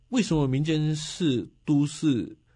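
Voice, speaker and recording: On a very clean recording with a silent background, a man with a Taiwanese accent speaks in a dark, mellow, somewhat breathy tone. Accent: Taiwanese Mandarin. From Taiwan, Nantou County. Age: 40s. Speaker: county councillor and local election candidate. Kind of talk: radio interview.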